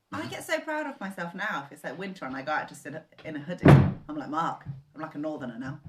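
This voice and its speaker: A woman speaks very fast with a southern English accent, her pitch very deep and low, with ordinary pitch variation. Noticeable background noise is present. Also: big swings in loudness. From southern England. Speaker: co-host. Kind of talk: casual chat.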